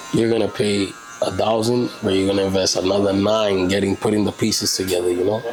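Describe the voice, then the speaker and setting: A man's fairly low, flat, monotone voice at a very fast pace, with very even loudness and music in the background. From Puerto Rican, Brooklyn New York. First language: Spanish. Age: 30s. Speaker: barber. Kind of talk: casual interview.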